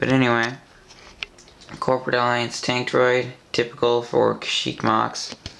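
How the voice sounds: Vocal fry and a fairly bright tone at a fairly slow pace, with audible room echo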